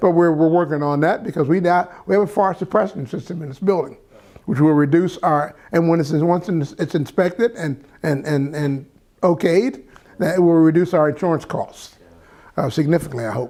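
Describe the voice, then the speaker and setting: A man with an American accent speaks in a high pitch, his tone dark and mellow and his pitch varying in an ordinary way. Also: moderate pace. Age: 70s. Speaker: nonprofit leader. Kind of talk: interview. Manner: halting, many repetitions and fillers.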